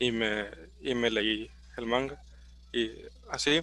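This man speaks at a medium pitch with a Mexican accent. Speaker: podcast co-host. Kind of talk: casual chat.

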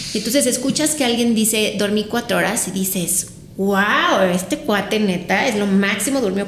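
Amid audible room echo and noticeable background noise, a woman at medium pitch talks at a moderate pace with ordinary pitch variation. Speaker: sleep consultant. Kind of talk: interview.

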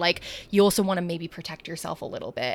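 A woman's fairly low, fairly quick, a plain, everyday voice with an American accent. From San Francisco, US. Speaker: marketing agency co-founder. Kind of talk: casual chat.

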